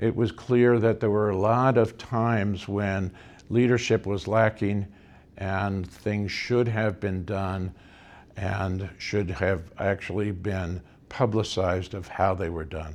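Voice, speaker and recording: At a very slow pace, a man with an American accent speaks with fairly even intonation. His pitch is fairly low. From US Northeast, suburban Philadelphia. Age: 70s. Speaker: school board candidate. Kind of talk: campaign talk at meet and greet. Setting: party headquarters meeting room. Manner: hesitant, many fillers.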